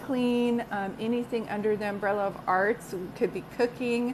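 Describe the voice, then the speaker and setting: A woman's plain, everyday voice, fairly slow and fairly even in intonation. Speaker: psychic medium. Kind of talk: live stream chat with viewers. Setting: live video stream.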